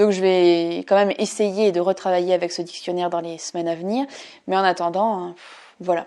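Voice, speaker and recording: A woman's medium-pitched voice, dark and mellow, at a fairly quick pace. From France. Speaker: language learning vlogger. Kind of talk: vlog, progress review. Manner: animated.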